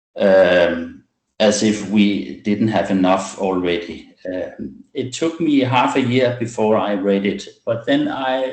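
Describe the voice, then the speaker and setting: A man talks at a very slow pace in a fairly low pitch, with a non-native accent. Audible room echo surrounds the recording. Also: lively intonation. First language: not English. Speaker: medical doctor presenting a webinar. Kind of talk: webinar presentation. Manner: halting, many fillers.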